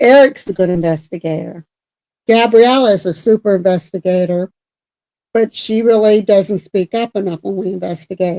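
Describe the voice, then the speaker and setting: A woman's dark, mellow tone at medium pitch, moderate pace and ordinary pitch variation, in a dry, close sound with no echo. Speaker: paranormal podcast co-host. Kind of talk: casual chat. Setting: live stream. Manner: loud, projecting voice; halting, repetitive.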